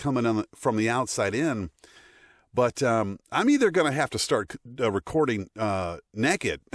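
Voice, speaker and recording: With an American accent and lively intonation, a man speaks at a moderate pace in a very clean recording with a silent background and a dry, close sound with no echo. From United States. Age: middle-aged. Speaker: voice actor. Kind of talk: casual talk to camera. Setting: studio. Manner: upbeat, giggly.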